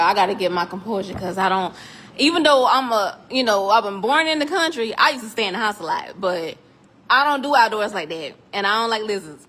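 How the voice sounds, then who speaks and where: Over noticeable background noise, a woman speaks at a fairly quick pace. Her fairly high voice has lively intonation. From South Carolina, US South. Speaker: 3D printing tutorial maker. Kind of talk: tutorial. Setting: metal building workshop. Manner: animated. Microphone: echoey room.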